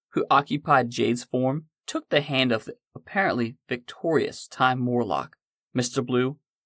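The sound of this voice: Ordinary pitch variation in an unforced reading voice, with a quiet background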